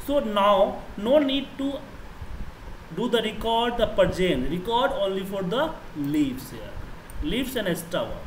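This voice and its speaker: A man with an Indian accent speaks at a fairly slow pace in a high pitch with lively intonation. Noticeable background noise runs behind him. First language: Hindi. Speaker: Excel trainer. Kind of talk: tutorial. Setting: online class. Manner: halting.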